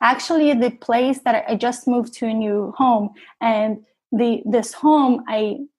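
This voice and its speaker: A woman with a slight non-native accent speaks at a fairly slow pace in a fairly high pitch, her intonation fairly even. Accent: slight foreign accent in English. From Russia, then New York from about 10. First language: Russian. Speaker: cancer survivor, photographer. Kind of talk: interview testimony.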